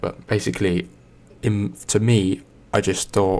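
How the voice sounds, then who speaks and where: A man speaks softly. His pitch is very deep and low. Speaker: ASMR creator. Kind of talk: casual talk to camera. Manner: soft-spoken.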